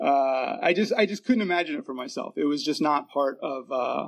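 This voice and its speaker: A man's fairly high, an ordinary speaking voice, at a fairly quick pace with ordinary pitch variation. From Virginia. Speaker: AA speaker. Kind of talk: testimony.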